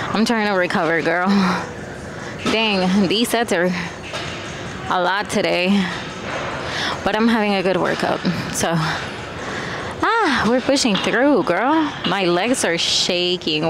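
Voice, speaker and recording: There is noticeable background noise as a woman talks at a fairly slow pace, leaving long, frequent pauses. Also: ordinary pitch variation, dry sound with no echo. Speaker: fitness vlogger. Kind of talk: casual vlog chat. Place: gym. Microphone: lapel.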